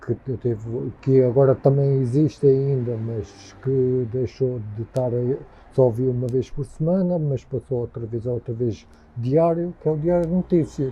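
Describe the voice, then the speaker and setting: This voice is somewhat breathy, moving at a fairly slow pace with ordinary pitch variation. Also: man, medium pitch for a man. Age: 50s. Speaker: interviewee. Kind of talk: interview. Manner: halting.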